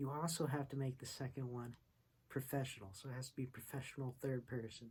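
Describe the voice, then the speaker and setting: Speaking at a fairly quick pace, a man with a medium pitch and fairly even intonation sounds somewhat breathy. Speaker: online university student and music producer. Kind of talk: casual vlog review. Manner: stumbles over words.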